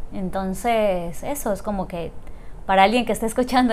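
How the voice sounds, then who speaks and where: Speaking at a moderate pace, a woman uses a normal speaking voice pitched fairly high. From Ecuador, Loja. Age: 30s. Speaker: coffee entrepreneur. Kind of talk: interview.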